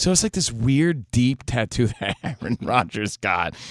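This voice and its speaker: A man with a plain, everyday voice and an American accent, lively intonation and a moderate pace, in a very clean recording with a silent background and a dry, close sound with no echo. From New Jersey. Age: 40s. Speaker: sports radio host. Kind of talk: casual chat. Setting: studio.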